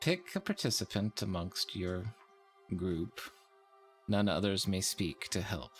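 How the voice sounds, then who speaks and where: A man's put-on, booming character voice, fairly low in pitch with fairly even intonation, at a fairly slow pace with long, frequent pauses over faint music in the background. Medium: actual play. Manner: slow, grandiose, riddling.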